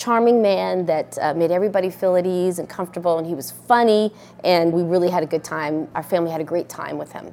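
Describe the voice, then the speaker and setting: A woman with an American accent speaks at a fairly quick pace, her fairly low voice dark and mellow in tone, with ordinary pitch variation. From Colorado Springs, US. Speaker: air force officer. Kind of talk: testimony.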